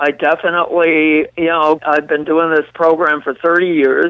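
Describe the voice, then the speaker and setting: The speaker is a man with an American accent. His pitch is high. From US Northeast, New York City. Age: 60s. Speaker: radio host and vegetable farmer. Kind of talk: casual chat. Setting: phone call. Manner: formal.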